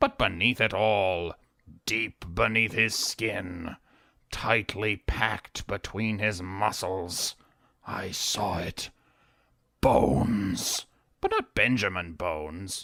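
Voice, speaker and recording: A raspy put-on character voice moves at a very slow pace with fairly even intonation and long, frequent pauses. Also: man, fairly low pitch for a man. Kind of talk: deadpan comic monologue. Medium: audio drama. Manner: self-important.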